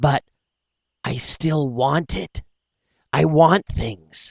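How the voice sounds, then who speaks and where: A man puts on a whiny character voice. He speaks at a very slow pace. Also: fairly high pitch for a man. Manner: whining.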